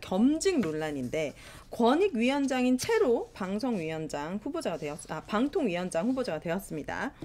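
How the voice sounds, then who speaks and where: The speech moves at a moderate pace with hardly any pauses and very wide pitch swings. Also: woman. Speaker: union leader and show host. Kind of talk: casual talk show discussion. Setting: studio. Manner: animated.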